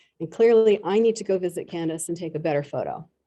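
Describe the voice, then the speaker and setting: A woman with an American accent, fairly low in pitch, dark and mellow in tone, with ordinary pitch variation. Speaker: art historian giving a public talk. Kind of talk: lecture. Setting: church hall with live audience and Zoom.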